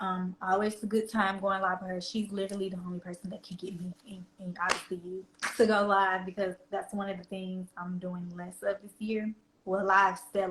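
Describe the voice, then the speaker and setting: A woman at a moderate pace with a slight Southern US accent keeps her medium pitch monotone and flat while her loudness swings widely. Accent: slight country Southern US. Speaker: fashion reseller and influencer. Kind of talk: casual interview chat. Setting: live stream.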